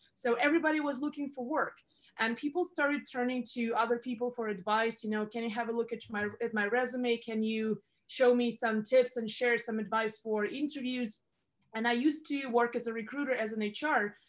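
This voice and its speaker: Talking at a fairly quick pace, a woman has a high pitch and a Russian accent. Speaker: career advisor. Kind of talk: interview. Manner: energetic.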